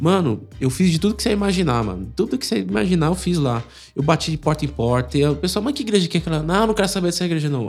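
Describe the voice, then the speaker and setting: Speaking very quickly, a man uses a fairly high pitch. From São Paulo, Brazil. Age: 30s. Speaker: church member. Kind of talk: casual chat. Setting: live stream. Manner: animated.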